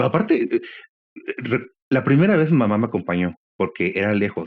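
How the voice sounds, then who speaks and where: A man with a Mexican accent talks with very wide pitch swings. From Mexico. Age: 40s. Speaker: podcast guest. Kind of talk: interview conversation. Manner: halting, many fillers.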